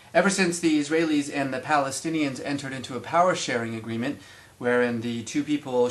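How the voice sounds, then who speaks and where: There is noticeable background noise as a man speaks at a fairly quick pace. His medium pitch shows ordinary variation. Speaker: commentator on the Middle East. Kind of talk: mock TV news report.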